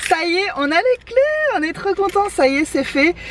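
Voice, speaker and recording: Noticeable background noise runs under the clip. A woman speaks at a fairly slow pace. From Réunion. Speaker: vlogger. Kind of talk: casual talk to camera.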